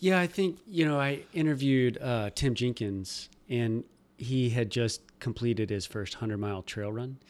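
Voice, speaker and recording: A man with an ordinary speaking voice and an American accent talks at a moderate pace and medium pitch with lively intonation, on a very clean recording with a silent background. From Nebraska. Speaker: podcast host. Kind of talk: interview.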